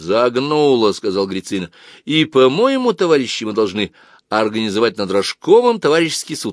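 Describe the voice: Someone reads aloud plainly. There is no extra flourish in the reading.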